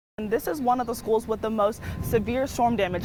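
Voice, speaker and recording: A woman talks at a very fast pace and a fairly high pitch. Noticeable background noise is present. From Texas, USA. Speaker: TV news anchor and reporter. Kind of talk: TV news reporter stand-up and live report.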